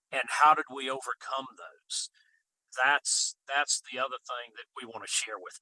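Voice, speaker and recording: Delivered at a moderate pace with a Deep South accent, the voice swings widely in loudness over a dry, close sound with no echo. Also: man. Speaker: farmer and regenerative agriculture speaker. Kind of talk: interview. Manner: halting, repeats words.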